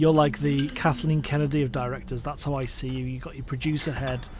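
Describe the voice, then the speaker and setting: A man speaks with a northwest English accent. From northwest England. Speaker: podcast host. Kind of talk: casual interview chat.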